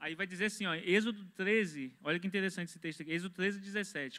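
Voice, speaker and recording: Against a quiet background, a man projects a raised, high-pitched voice with a bright, sharp tone. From Brazil. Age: 20s. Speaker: church member, construction worker; pastor, panel member. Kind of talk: religious discussion. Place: studio. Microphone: handheld.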